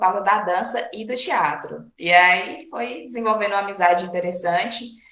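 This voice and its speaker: A woman with a medium pitch and ordinary pitch variation talks at a moderate pace. Audible room echo and noticeable background noise are present. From Brazil, Bahia/Minas Gerais border. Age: 30s. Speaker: physical education teacher and cultural project coordinator. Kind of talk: interview. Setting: online recording.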